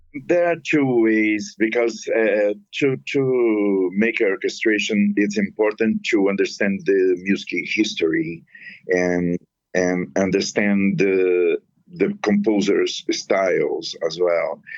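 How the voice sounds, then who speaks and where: Speaking at a very slow pace, a man talks in a non-native accent. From Brazil. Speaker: musician and composer. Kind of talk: interview. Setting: phone call. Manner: halting.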